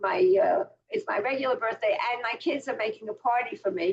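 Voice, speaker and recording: Speaking at a moderate pace, a woman uses a high pitch with very wide pitch swings. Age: 80s+. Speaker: Bible teacher. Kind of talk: online class lecture; casual chat with class. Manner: halting, many fillers.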